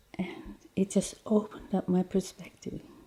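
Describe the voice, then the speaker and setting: Speaking in an Australian accent, a woman holds a moderate pace. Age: 60s. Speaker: cancer patient. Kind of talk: interview testimony.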